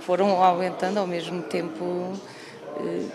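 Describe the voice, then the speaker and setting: Through noticeable background noise and audible room echo, a woman speaks at a fairly slow pace. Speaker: radio collector, museum co-founder. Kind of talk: TV interview.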